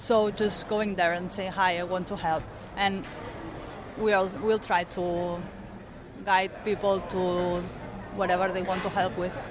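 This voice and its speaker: A woman's medium-pitched, monotone, flat delivery in a Spanish accent, fairly slow with long, frequent pauses, over noticeable background noise. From Barcelona, Spain. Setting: conference interview. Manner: halting, hesitant.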